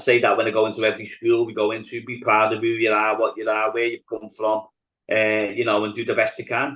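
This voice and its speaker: In a Liverpool accent, a man talks very fast at medium pitch with monotone, flat intonation. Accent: Scouse. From Liverpool, England. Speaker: politician. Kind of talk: interview. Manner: hesitant, many fillers.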